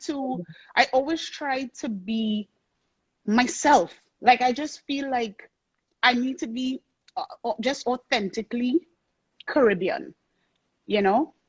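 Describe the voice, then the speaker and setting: A woman with a Trinidadian accent speaks very slowly in a high voice, with long, frequent pauses. Her intonation is lively, and the sound is dry and close with no echo. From Trinidad and Tobago. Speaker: soca singer and songwriter. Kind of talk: interview. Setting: live-streamed video interview.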